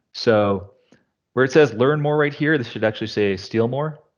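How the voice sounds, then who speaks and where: The man talks at a moderate pace with ordinary pitch variation. The background is quiet. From Canada. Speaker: tech consultant presenting a demo; presenter. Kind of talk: live tech demo presentation. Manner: casual, filler-heavy. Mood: casual, joking. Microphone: headset.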